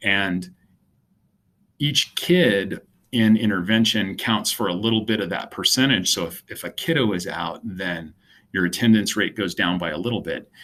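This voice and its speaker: A man's bright, sharp voice, fairly low in pitch with ordinary pitch variation, in a very clean recording against a silent background. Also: moderate pace. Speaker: school principal. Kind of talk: presentation of school data. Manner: hesitant with fillers.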